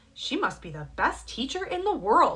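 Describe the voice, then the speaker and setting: Using a put-on character voice, a woman talks at a high pitch with very wide pitch swings. Her pace is moderate. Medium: read story.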